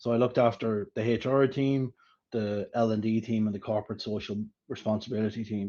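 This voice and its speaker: Over a quiet background, a man speaks in a dark, mellow tone with monotone, flat intonation. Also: medium pitch for a man, fairly quick pace. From Ireland. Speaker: HR director. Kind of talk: interview.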